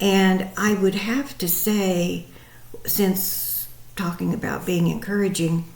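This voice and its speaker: Very slowly and with fairly even intonation, a woman speaks at a medium pitch amid noticeable background noise and audible room echo. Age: 70s. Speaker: psychic medium and meditation teacher. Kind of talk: spiritual daily message talk. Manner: hesitant, many fillers.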